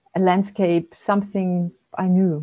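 A woman talks fairly slowly in a medium-pitched, somewhat breathy voice with a dark, mellow tone. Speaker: human design analyst. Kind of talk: casual interview conversation. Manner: gentle; halting, searching for words.

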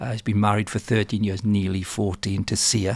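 Fairly low-pitched and somewhat breathy, a man talks at a moderate pace in a monotone, flat intonation, with a dry sound and no echo. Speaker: podcast interviewer. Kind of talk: podcast introduction. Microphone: studio mic.

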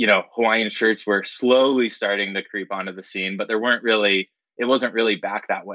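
In an American accent, a man speaks with an ordinary speaking voice at a medium pitch and fairly even intonation. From Florida and Colorado, US. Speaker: company founder. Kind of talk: interview.

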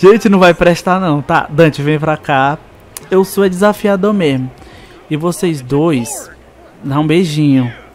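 Against noticeable background noise, a man with a fairly high pitch speaks at a very slow pace with long, frequent pauses and ordinary pitch variation. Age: 20s. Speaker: gaming youtuber. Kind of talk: gameplay commentary. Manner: animated.

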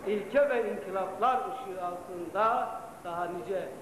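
A man's high voice with ordinary pitch variation at a very slow pace, amid light background noise and audible room echo. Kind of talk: formal ceremonial speech. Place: hall. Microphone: old recording.

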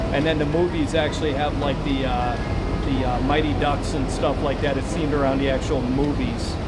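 Loud background noise sits under speech delivered at a moderate pace. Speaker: travel vlogger. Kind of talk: casual vlog commentary. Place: bus. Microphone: phone near.

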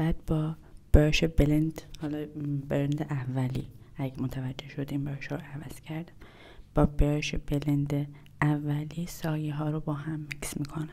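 A soft-spoken woman with a very deep, low pitch and a dark, mellow tone talks at a moderate pace in a monotone, flat intonation. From Iran. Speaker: ASMR content creator. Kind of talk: ASMR makeup video narration. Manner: quiet, soft-spoken. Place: home room. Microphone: lapel.

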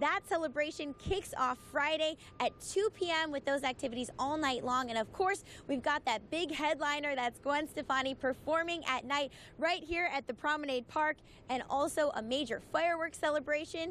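A woman speaks in a high pitch with an upbeat tone and very even loudness. The sound is dry with no echo, over light background noise. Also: ordinary pitch variation, moderate pace. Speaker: TV news reporter. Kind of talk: live news report. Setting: outdoors. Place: street. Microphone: handheld.

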